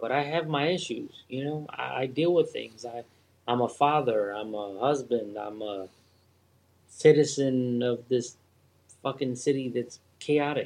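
Speaking fairly slowly with a Philadelphia accent, a man keeps a medium pitch with ordinary pitch variation and big swings in loudness. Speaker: guest. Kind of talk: casual chat. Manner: animated.

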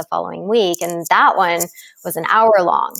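On a very clean recording with a silent background, a woman with an American accent talks at a fairly quick pace with fairly even intonation. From Dallas, Texas. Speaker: breathwork expert. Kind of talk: interview with guided breathing.

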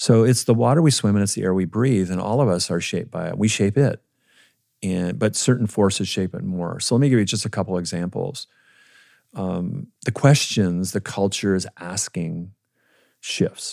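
An ordinary speaking voice, a man with an American accent at a fairly low pitch, ordinary pitch variation, and a moderate pace, on a very clean recording with a silent background. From Minnesota, US Midwest. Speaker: pastor and author. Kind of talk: casual chat.

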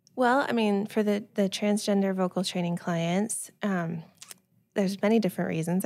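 A woman with a Californian accent talks at a moderate pace with fairly even intonation. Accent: General American (Californian). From US West Coast (Silicon Valley, California). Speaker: speech-language pathologist. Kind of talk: casual interview.

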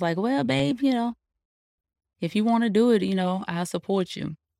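A woman's plain, everyday voice at medium pitch, with an American accent and a fairly quick pace, in a very clean recording against a silent background. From North Carolina. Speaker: truck driver, owner-operator. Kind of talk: casual interview.

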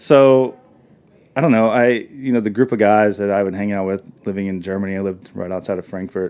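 In an ordinary speaking voice with an American accent, a man talks at a fairly quick pace, his fairly low pitch showing ordinary pitch variation. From US South, northern Arkansas. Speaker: chef and restaurateur. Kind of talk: interview. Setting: studio.

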